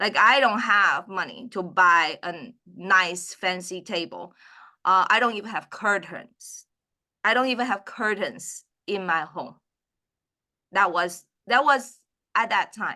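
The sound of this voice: Slow and lively in intonation, a woman speaks at a medium pitch. Her tone is bright and sharp.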